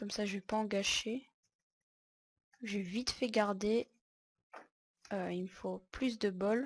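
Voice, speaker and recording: Somewhat breathy and medium in pitch, a woman speaks at a very slow pace. She leaves long, frequent pauses. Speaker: gaming YouTuber. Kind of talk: gameplay commentary. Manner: low-energy.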